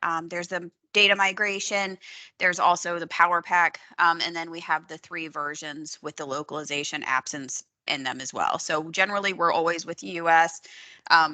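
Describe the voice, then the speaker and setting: A woman speaks with a fairly low pitch and a bright, sharp tone. Her intonation is fairly even against a quiet background. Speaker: software trainer. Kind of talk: training webinar. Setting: video call. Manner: fast. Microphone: video call.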